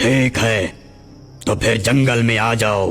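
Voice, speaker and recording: In a cartoonish character voice, a raspy man speaks at medium pitch and a moderate pace over clear music in the background. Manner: boastful, haughty.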